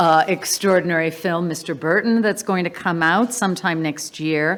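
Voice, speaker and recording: A woman's plain, everyday voice with an American accent, fairly low in pitch, with ordinary pitch variation. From Wales, the Valleys, raised mostly in the US. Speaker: family representative giving vote of thanks. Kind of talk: vote of thanks speech.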